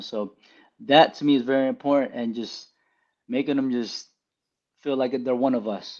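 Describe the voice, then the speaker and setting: A man has an unremarkable speaking voice at medium pitch, in an American accent. He talks at a fairly quick pace with ordinary pitch variation. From Allentown, Pennsylvania. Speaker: barbershop owner. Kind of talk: podcast interview.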